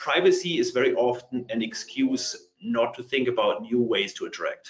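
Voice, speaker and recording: This is a man's voice. He speaks with a German accent. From Germany. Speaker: partner tech company leader. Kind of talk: panel discussion.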